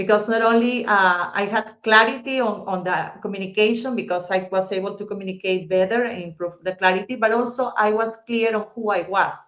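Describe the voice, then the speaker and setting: With a non-native accent, a woman at a medium pitch talks at a fairly quick pace with fairly even intonation and hardly any pauses. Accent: foreign accent, noticeable. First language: not English. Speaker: guest speaker on communication. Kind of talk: personal story in interview. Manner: halting, self-correcting.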